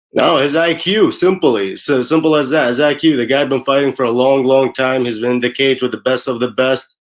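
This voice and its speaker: In a confident tone, a man with a medium pitch speaks at a fairly quick pace with hardly any pauses and ordinary pitch variation. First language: not English. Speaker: MMA fighter. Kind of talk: interview. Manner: confident, trash talk.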